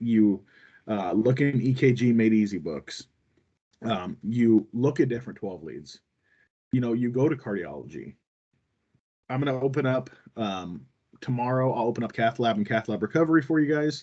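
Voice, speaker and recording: At a medium pitch, a man speaks in a dark, mellow tone with lively intonation and long, frequent pauses. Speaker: cardiology instructor for nurses and residents. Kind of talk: online lecture. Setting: video call with screen sharing. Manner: fast.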